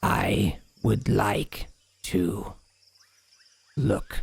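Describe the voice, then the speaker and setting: A raspy, hissing put-on character voice from a man, fairly low in pitch. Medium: actual play. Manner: halting, broken speech.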